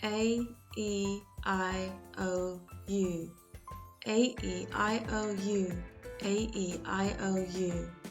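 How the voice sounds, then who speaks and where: Over music in the background, a woman speaks very slowly with long, frequent pauses. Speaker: English teacher. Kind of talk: language lesson drill. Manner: slow, clear.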